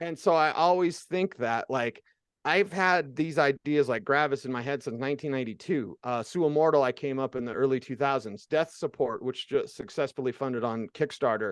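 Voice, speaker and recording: An ordinary speaking voice from a man, fairly high-pitched with ordinary pitch variation, fairly quick and with hardly any pauses, in a dry, close sound with no echo and a quiet background. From US, Mexican-American (Chicano) heritage. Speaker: radio personality and comic creator. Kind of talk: casual interview chat.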